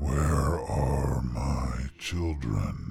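A man's put-on character voice, extremely low and very slow, with big pitch swings, vocal fry and a slightly mellow tone.

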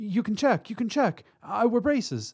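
On a very clean recording with a silent background, a man uses a put-on character voice, high-pitched with a slightly husky edge, big pitch swings and a fairly slow pace.

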